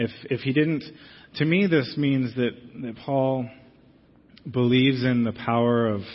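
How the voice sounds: At a fairly slow pace, a man speaks at medium pitch with fairly even intonation.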